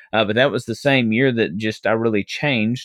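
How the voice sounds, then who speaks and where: A man with a Southern US accent talks at a fairly quick pace in a medium pitch, his pitch varying in an ordinary way. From Arkansas, US South. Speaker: minister and former political candidate. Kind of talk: casual interview conversation.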